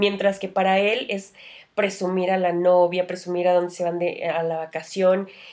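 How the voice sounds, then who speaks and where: A woman of medium pitch speaks at a moderate pace in a monotone, flat intonation. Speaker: podcast co-host. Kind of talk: casual chat.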